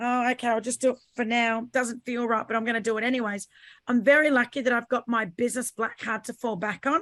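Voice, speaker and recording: In a very clean recording with a silent background and a dry, close sound with no echo, a woman with an Australian accent talks at a very fast pace and a high pitch, with monotone, flat intonation. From Australia, Sydney/Brisbane. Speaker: podcaster and business owner. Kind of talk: panel discussion.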